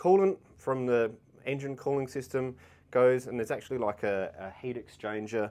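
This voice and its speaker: A man's speech moves at a moderate pace, its pitch varying in an ordinary way. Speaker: vehicle channel host. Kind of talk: tutorial. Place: workshop. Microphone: lapel.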